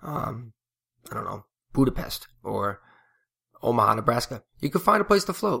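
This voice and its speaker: Mumbling, a man talks at a moderate pace. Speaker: podcast host and float center owner. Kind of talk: casual solo podcast monologue. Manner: hesitant, many fillers and mumbles.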